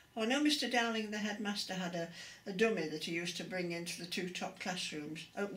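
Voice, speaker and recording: Speaking very fast with an East Midlands accent and ordinary pitch variation, a woman is heard over noticeable background noise with audible room echo. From England, Derby area. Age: 80s+. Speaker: interviewee. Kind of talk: oral history interview.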